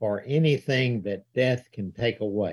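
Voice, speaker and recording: In a very clean recording with a silent background, a man with a Southern US accent talks at a fairly slow pace, his medium pitch showing ordinary variation. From US South. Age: 70s. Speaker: evangelist, church elder and author. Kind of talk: casual interview.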